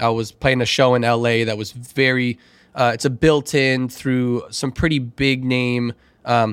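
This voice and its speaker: A man with an American accent at a medium pitch, monotone with flat intonation at a moderate pace, in a very clean recording with a silent background. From Chicago. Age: 30s. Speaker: DJ and former teacher. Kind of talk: casual chat.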